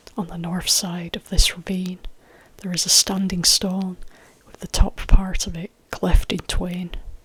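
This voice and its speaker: Whispering and soft-spoken, the speaker goes at a fairly slow pace. Noticeable background noise can be heard. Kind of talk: ASMR folktale reading. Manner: soft-spoken, whispered.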